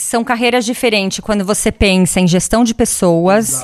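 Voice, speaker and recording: A woman speaks at a medium pitch with ordinary pitch variation, in a normal speaking voice. The recording is very clean, with a silent background. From Brazil. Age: 40s. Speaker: tech industry executive. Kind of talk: casual interview. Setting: recorded in her home.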